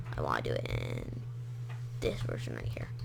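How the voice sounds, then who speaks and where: A woman's fairly slow speech is heard with noticeable noise in the background. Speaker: gaming YouTuber and hobby game developer. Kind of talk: gameplay commentary.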